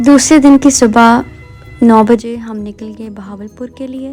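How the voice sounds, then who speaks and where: With music in the background, a woman speaks in a fairly high voice and fairly even intonation. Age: young. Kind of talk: travel vlog voiceover narration.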